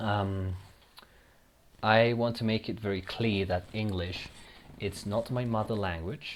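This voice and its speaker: Spoken with a Spanish accent, the voice moves at a fairly slow pace with fairly even intonation and long, frequent pauses. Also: man, fairly low pitch for a man. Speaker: gaming YouTuber. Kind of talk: casual gameplay commentary. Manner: halting, with repeated words.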